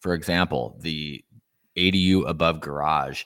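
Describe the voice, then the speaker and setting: A man with a West Coast accent, on a very clean recording with a silent background. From southern Oregon. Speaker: ADU developer and real estate investor. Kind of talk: interview.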